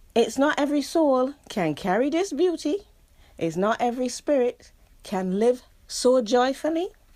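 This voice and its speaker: A woman speaks at a high pitch with very wide pitch swings and a dark, mellow tone. Her pace is moderate, on a very clean recording with a silent background. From England, London. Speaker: poet. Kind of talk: poetry reading.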